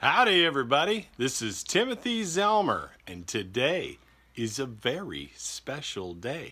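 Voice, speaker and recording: Speaking at a fairly slow pace, a man with a fairly high pitch, a bright, sharp tone and vocal fry uses very wide pitch swings and big swings in loudness, recorded very cleanly over a silent background. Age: 50s. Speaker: expat entrepreneur. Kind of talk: unboxing video. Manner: animated.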